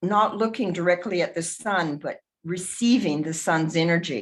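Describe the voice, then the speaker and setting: At a fairly slow pace, a woman speaks with a fairly low pitch and ordinary pitch variation. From US South. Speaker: memorial speaker. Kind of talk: memorial tribute. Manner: halting.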